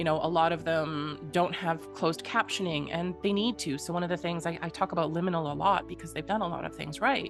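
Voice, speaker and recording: Music is playing behind the speaker. A woman talks over it. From Western Canada. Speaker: accessibility consultant and advocate. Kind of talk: interview answer.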